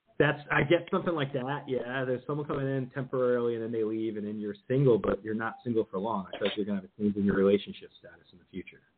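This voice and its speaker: A man with a medium-pitched voice and an American accent talks at a very fast pace with ordinary pitch variation. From New Jersey. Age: 40s. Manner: fast talker.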